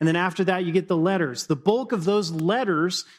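The speaker does plain reading aloud.

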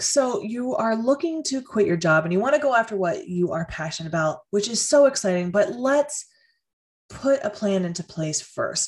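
A woman's somewhat breathy, fairly high voice with very wide pitch swings at a moderate pace. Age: 30s. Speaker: podcast host and career coach. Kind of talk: solo podcast monologue.

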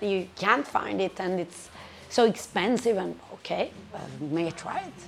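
A woman with an Italian accent at a medium pitch, a fairly slow pace and ordinary pitch variation, with noticeable background noise. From Italy, Perugia. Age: 20s. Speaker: restaurant owner. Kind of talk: casual interview.

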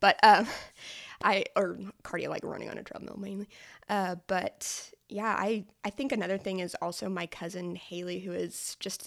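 A woman with a normal speaking voice talks in an American accent at a medium pitch. Her pace is moderate and her intonation fairly even. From rural Oklahoma panhandle. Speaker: nutrition coach. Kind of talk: casual chat.

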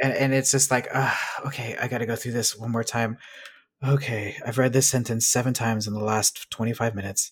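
A man's medium-pitched, somewhat breathy voice at a fairly quick pace, with flat monotone intonation. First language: Spanish. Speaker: science fiction and fantasy author. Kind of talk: casual interview.

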